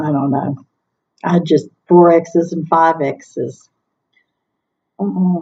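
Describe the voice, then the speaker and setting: A woman speaks very slowly at a fairly low pitch, in a dark, mellow tone. Her pitch variation is ordinary, and she leaves long, frequent pauses. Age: 60s. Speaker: vlogger sharing weight-loss surgery journey. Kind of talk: casual vlog monologue. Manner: hesitant, with frequent ums.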